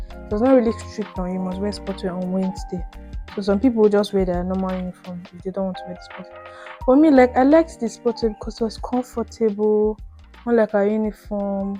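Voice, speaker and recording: A woman speaks at a medium pitch and a fairly quick pace, with ordinary pitch variation. Her loudness swings widely, and music plays in the background. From Nigeria (Benue state). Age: 20s. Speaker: YouTuber. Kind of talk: casual storytime talk to camera while doing makeup.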